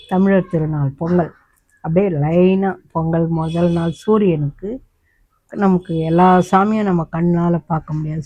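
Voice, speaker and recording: This woman has a dark, mellow tone, a fairly low pitch and fairly even intonation. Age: 70s. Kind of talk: casual talk to camera. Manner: natural, unscripted storytelling.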